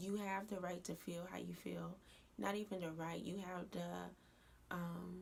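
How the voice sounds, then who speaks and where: A woman speaks quietly at a fairly slow pace, with audible room echo. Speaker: YouTuber. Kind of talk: casual vlog rant. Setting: at home at night. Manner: quiet, low voice; hesitant with fillers.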